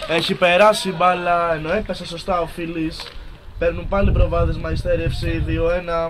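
Against noticeable background noise, a man speaks at a fairly slow pace. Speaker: football commentator. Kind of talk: live commentary.

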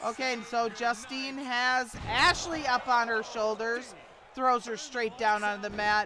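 A woman at a fairly high pitch and a fairly slow pace, with noticeable background noise. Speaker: wrestling commentator. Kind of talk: live wrestling commentary. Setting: Twitch stream.

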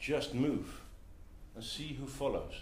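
A man with a Dutch accent, with audible room echo. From Netherlands. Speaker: entrepreneur and community co-founder; presenter. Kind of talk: talk to a live audience. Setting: meetup venue with audience. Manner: halting with many fillers. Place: meeting room. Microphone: camera far.

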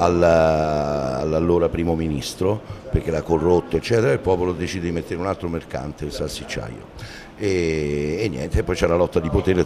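Against noticeable background noise, a man with a very deep, low pitch talks at a fairly quick pace. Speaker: actor interviewed about a play. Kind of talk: interview answer. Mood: pleased, animated. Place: hall. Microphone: handheld.

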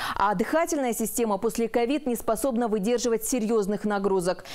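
The voice has a dark, mellow tone. Its pitch variation is ordinary. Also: woman. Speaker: news reporter. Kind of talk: news reading. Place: studio. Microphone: lapel.

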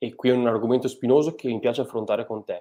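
A man talks at a fairly quick pace in a dark, mellow tone. The background is quiet. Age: young. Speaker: biologist and fish pathologist; livestream host. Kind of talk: live stream interview. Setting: video call. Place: home room. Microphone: earbuds.

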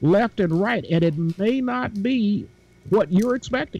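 The intonation is lively, and the sound is dry with no echo. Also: man. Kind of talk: casual panel discussion. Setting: video call. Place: home room. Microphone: video call.

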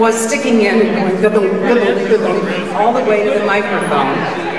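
Crowd noise fills the background as a woman speaks at a fairly slow pace with audible room echo. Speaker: guest. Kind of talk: anecdote to an audience. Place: stage.

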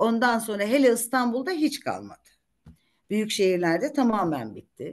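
A moderate pace paired with lively intonation. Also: woman, fairly high pitch for a woman. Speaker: retired judge and lawyer; retired judge, lawyer. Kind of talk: career talk to law students. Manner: talkative. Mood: warm, anecdotal. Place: home room. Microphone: video call.

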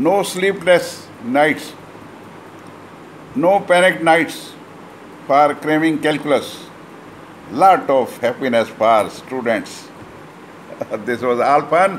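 Over light background noise, a man speaks at a very slow pace, leaving long, frequent pauses. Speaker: maths teacher. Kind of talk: lecture. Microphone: phone near.

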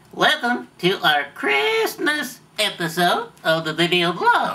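Putting on a character voice, a man talks at a fairly slow pace with a high pitch. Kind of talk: comedic ventriloquist sketch.

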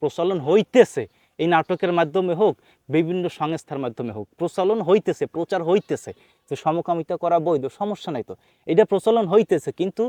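A man speaks in an animated tone. His pitch is high. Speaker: YouTube commentator, religious preacher. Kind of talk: opinion monologue to camera. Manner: animated, colloquial.

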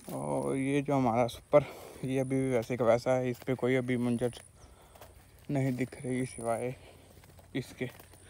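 A man with a medium-pitched, dark, mellow voice speaks fairly slowly, with vocal fry and little pitch movement. Long pauses come often.

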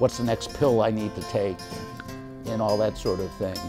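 Clear music in the background behind a man's fairly low voice, lively in intonation and moderate in pace. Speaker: son of program client. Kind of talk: interview answer. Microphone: lapel.

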